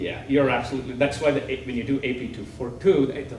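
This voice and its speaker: Very fast speech from a man at medium pitch with fairly even intonation, amid audible room echo and noticeable background noise. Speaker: CAD software trainer presenter. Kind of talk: technical presentation with live demo.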